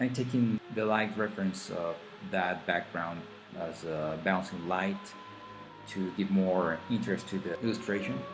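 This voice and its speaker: A man talks in a very deep, low voice with a non-native accent. Music plays behind him. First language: Spanish. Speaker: digital artist. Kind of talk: drawing tutorial voice-over.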